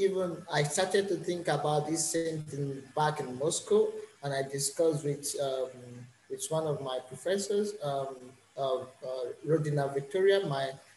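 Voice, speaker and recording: A man with a fairly high voice speaks at a fairly slow pace, his pitch varying in an ordinary way over noticeable background noise. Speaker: master's student. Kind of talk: interview. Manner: halting, many fillers.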